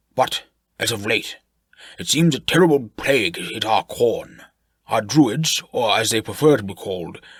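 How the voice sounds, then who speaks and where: Using a put-on character voice with a strong British accent, a man speaks at a moderate pace and medium pitch, with lively intonation and big swings in loudness. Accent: thick British. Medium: read story. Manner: genteel, verbose, old-fashioned.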